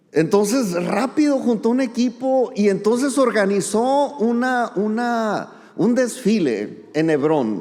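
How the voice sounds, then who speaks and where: A man's extremely high-pitched voice at a very slow pace, very even in loudness, with hardly any pauses, ordinary pitch variation, audible room echo and noticeable background noise. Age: 60s. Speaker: pastor. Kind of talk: sermon. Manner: conversational.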